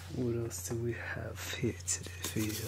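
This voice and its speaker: The speech comes at a very slow pace against loud background noise. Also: man. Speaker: ASMR creator. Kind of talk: ASMR video. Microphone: studio mic.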